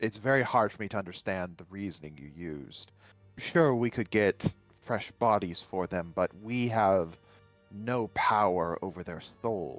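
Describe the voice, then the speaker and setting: A man's put-on character voice, fairly low-pitched, at a moderate pace, with faint music in the background. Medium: actual play. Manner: measured, earnest.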